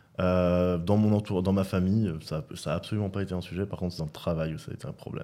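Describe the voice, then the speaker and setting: A man's very fast speech, very deep and low in pitch, with a dark, mellow tone and fairly even intonation. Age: 30s. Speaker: safety manager, guest. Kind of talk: casual chat.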